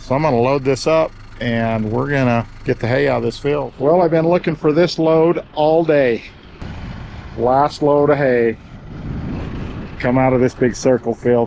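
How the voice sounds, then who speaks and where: A man with an American accent at a fairly slow pace, with long, frequent pauses and ordinary pitch variation, against noticeable background noise. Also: medium pitch for a man, very even loudness. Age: 60s. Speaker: farmer. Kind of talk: vlog narration; casual chat.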